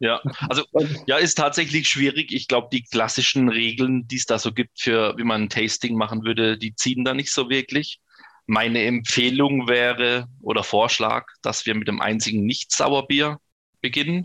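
A normal speaking voice comes from a man at medium pitch. His intonation is fairly even at a moderate pace, and the sound is dry and close with no echo. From northern Baden, near Bruchsal. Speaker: homebrewer and beer sommelier. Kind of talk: casual interview with beer tasting.

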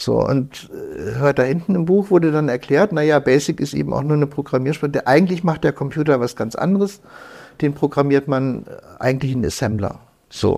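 This man's fairly high voice has a dark, mellow tone. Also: ordinary pitch variation, moderate pace. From northern Germany, Lüneburg Heath. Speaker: computer hacker. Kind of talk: interview. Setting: in person, indoor room. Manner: animated.

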